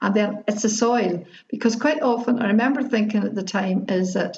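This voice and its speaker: A woman speaks at a moderate pace in a Northern Irish accent, her pitch medium with ordinary variation. Vocal fry runs through her voice. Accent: Derry Northern Irish. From Derry, Northern Ireland. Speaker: activist, retired teacher. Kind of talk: interview answer. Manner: joyful, humorous.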